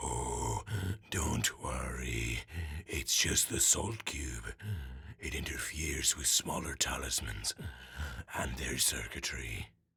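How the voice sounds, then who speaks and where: Using a put-on character voice, a man speaks at a fairly slow pace in a very deep, low register, leaving long, frequent pauses. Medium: audio drama. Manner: gentle, patient, sighing.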